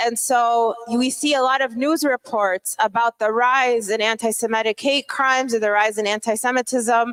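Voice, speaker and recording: A woman in an ordinary speaking voice, fairly high in pitch, with fairly even intonation, very even loudness, a moderate pace and hardly any pauses, dry and close with no echo. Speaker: conference speaker. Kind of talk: lecture.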